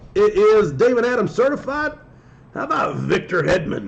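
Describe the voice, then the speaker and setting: A man speaks at a moderate pace in an extremely high pitch, his voice swinging very widely up and down over noticeable background noise. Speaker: sports card breaker streamer. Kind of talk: live stream commentary. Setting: live stream. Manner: speaking in a lowered voice, unnaturally.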